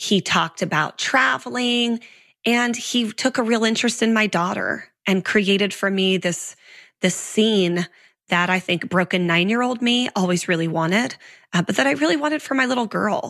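In an American accent, a woman speaks at medium pitch and a moderate pace with lively intonation and very even loudness, recorded very cleanly against a silent background. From US West, southern Oregon. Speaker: trafficking survivor and nonprofit founder. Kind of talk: interview testimony.

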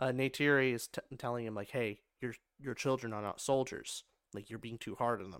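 A man's ordinary speaking voice at a medium pitch and fairly quick pace, with fairly even intonation and a dry, close sound with no echo. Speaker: podcast co-host and film reviewer. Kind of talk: casual movie review chat.

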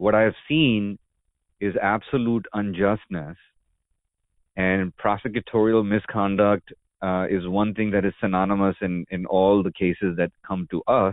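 Talking at a fairly slow pace with fairly even intonation, a man has a plain, everyday voice. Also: fairly low pitch for a man. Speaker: podcast host. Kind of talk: interview.

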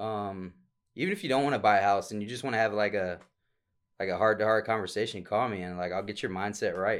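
Speech comes at a very fast pace in a very clean recording with a silent background. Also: man. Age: 20s. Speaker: real estate agent. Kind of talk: casual chat.

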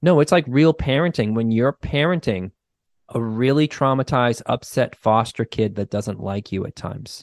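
Man with a slight Boston accent, medium pitch and ordinary pitch variation, moderate pace, dry, close sound with no echo, quiet background. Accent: mild Boston. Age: 40s. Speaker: clinical social worker and therapist. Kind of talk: casual interview chat. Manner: casual, profane, laughs often.

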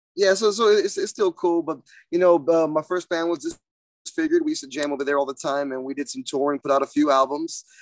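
A man with a Texan accent at a very fast pace, high-pitched, ordinary pitch variation, and a dry, close sound with no echo. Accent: Texan American. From central Texas, San Marcos. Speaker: metal guitarist. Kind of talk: casual chat.

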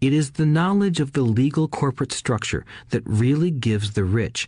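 Against a quiet background, a somewhat breathy man talks at a moderate pace with lively intonation. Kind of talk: audiobook reading. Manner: even, measured narration.

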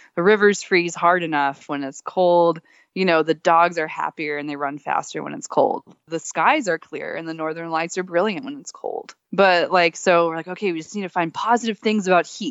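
A woman with a plain, everyday voice and fairly low pitch speaks at a moderate pace, with ordinary pitch variation and big swings in loudness. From Texas. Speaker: dog musher and author. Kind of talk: interview conversation.

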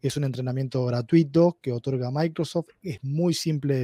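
A man speaks with a Uruguayan accent. His voice is fairly high in pitch with a dark, mellow tone. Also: dry, close sound with no echo. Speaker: data analytics expert. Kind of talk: interview. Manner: halting, many repetitions.

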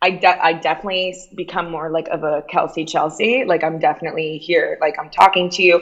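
In a plain, everyday voice, a woman with a fairly low pitch talks at a fairly quick pace with fairly even intonation and hardly any pauses. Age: 30s.

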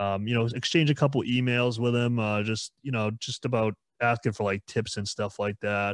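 In an unremarkable speaking voice, a man of medium pitch speaks at a moderate pace with fairly even intonation, on a very clean recording with a silent background. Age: 20s. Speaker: musician in a band. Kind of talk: casual chat.

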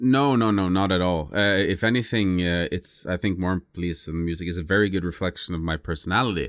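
A man speaks in a very deep, low voice with a Norwegian accent. He talks very fast, with hardly any pauses. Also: ordinary pitch variation. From southern Norway (Lista). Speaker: musician. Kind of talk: interview. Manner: halting.

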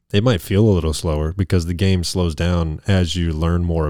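In a very clean recording with a silent background, a man speaks at a moderate pace with a very deep, low pitch and a dark, mellow tone. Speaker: podcast co-host. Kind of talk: casual chat. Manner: animated.

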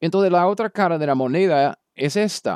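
With an American accent, a man speaks with ordinary pitch variation in a dry, close sound with no echo. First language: English (speaking Spanish). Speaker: Bible teacher. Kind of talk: lecture. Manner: halting.

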